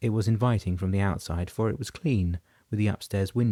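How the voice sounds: The recording features speech. It is a natural reading voice.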